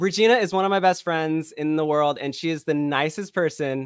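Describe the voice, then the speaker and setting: In an American accent, a man with a fairly high pitch and ordinary pitch variation speaks at a moderate pace with hardly any pauses, in a dry sound with no echo over a quiet background. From California, Bay Area (Vacaville); California. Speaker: filmmaker, director and editor; guest. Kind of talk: casual chat. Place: home room. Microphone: studio mic.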